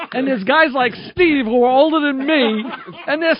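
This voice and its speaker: Against noticeable background noise, a man with an extremely high pitch talks at a moderate pace with lively intonation. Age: 50s. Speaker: radio host. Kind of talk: casual chat. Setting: studio.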